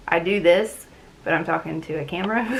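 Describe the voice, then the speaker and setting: A woman talks with vocal fry amid audible room echo. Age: 30s. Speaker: booktube channel host. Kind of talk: casual talk to camera. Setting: talking to a camera at home.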